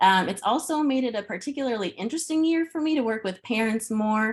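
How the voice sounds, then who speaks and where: A woman with a Chicago accent speaks at a very fast pace. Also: very clean recording, silent background. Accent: Chicago-area American. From US Midwest, Chicago suburbs. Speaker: pre-K teacher. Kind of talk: presentation.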